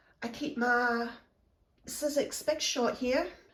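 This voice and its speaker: A woman with a Scottish accent, somewhat breathy. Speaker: craft vlogger. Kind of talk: casual room tour. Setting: at home in craft room.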